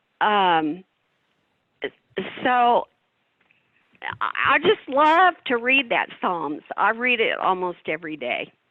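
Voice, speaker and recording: A woman's fairly high voice, very slow with long, frequent pauses and very wide pitch swings. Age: 80s+. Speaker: business leader, company co-founder. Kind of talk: interview. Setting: video call, audio only. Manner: animated.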